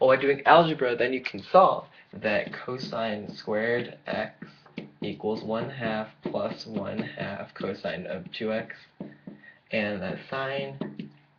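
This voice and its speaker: Noticeable background noise accompanies a man of medium pitch speaking with ordinary pitch variation. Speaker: math teacher. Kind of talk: tutorial. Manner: fast.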